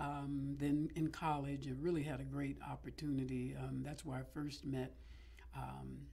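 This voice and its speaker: A woman speaks with an American accent at a fairly slow pace. Audible room echo surrounds her voice. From California. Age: 60s. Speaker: actress and voiceover artist. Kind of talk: interview.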